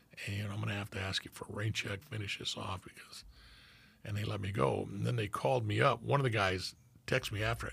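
A man with a fairly low pitch and vocal fry talks at a very fast pace with ordinary pitch variation in a very clean recording with a silent background. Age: 70s. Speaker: retired homicide detective and podcast co-host. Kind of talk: casual interview.

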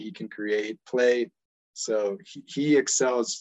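A man with an American accent speaks in a normal speaking voice, his medium pitch moving with ordinary variation. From United States (born in Ecuador). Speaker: football coach and podcaster. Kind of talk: casual chat.

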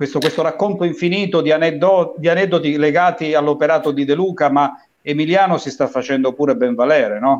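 A man with a plain, everyday voice, fairly high pitch, ordinary pitch variation and a fairly quick pace. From Falerna, Calabria. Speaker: show co-host, former radio host. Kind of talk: casual chat.

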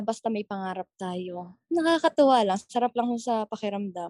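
A woman with a Batangas accent talks fairly slowly at a fairly high pitch, and the sound is dry and close with no echo. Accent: Batangueño. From Batangas, Philippines. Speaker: TikTok content creator. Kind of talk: interview.

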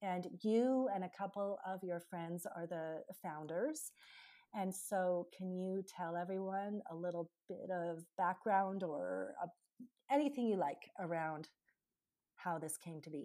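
In a Canadian accent, a woman speaks at a fairly slow pace with a dark, mellow tone and ordinary pitch variation. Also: medium pitch for a woman. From Canada. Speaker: podcast host. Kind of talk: casual interview chat. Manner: halting, searching for words.

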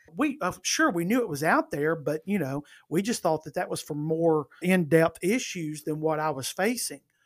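With an Alabama accent, a man speaks at a high pitch and moderate pace, with ordinary pitch variation, hardly any pauses, and a dry, close sound with no echo. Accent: Alabama Southern US. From US South, northern Alabama. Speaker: comedian. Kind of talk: casual chat.

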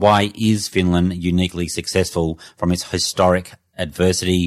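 In an Australian accent, a man with a very deep, low pitch speaks at a moderate pace in a monotone, flat intonation. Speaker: podcast interviewer. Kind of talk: interview.

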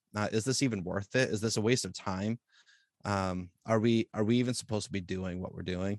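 A man with an ordinary speaking voice and fairly low pitch talks at a fairly quick pace with fairly even intonation, the sound dry and close with no echo. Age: 40s. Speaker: youth pastor. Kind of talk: casual chat.

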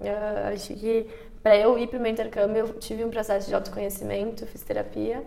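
A woman with a fairly high pitch talks fairly quickly in a flat monotone, her loudness swinging widely, with audible room echo and noticeable background noise. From Brazil. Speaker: entrepreneur, former exchange student. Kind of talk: casual interview.

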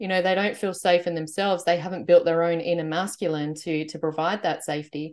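In a normal speaking voice, a woman talks at a fairly quick pace with hardly any pauses, a fairly low pitch and fairly even intonation against a quiet background. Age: 40s. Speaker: spiritual content creator, interviewer. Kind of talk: interview.

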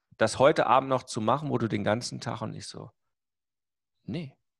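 Energetic speech comes at a moderate pace. The recording is very clean with a silent background. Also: man. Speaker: marketing coach. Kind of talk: casual chat.

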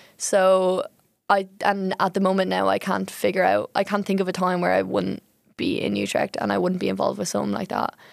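In an Irish accent, a woman talks at a fairly quick pace. The recording is very clean, with a silent background. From Ireland. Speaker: student volunteer. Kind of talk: casual chat.

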